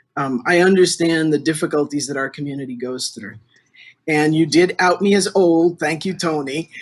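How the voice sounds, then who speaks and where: A man in a normal speaking voice talks moderately fast, his fairly high pitch showing ordinary variation. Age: 60s. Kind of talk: interview.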